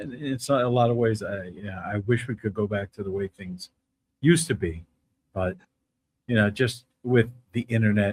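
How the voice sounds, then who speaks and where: With a New Jersey accent, a man talks at a moderate pace in a fairly low, somewhat breathy voice with ordinary pitch variation, the sound dry and close with no echo. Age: 60s. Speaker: podcast host. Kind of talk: interview.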